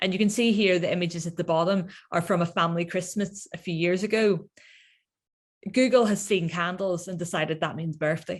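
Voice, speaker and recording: Somewhat breathy and fairly low in pitch, a woman talks at a fairly quick pace with ordinary pitch variation. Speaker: researcher. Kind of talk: lecture.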